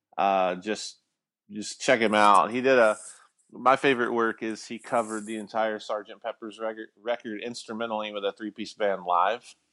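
A man with a Southern US accent, fairly low-pitched, bright and sharp in tone, flat and monotone at a moderate pace, dry and close with no echo over a quiet background. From Alabama, small town. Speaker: guitar pedal company founder. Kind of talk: casual interview.

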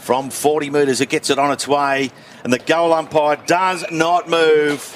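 Amid noticeable background noise, a man speaks at a fairly slow pace with fairly even intonation and very even loudness. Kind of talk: live sports commentary.

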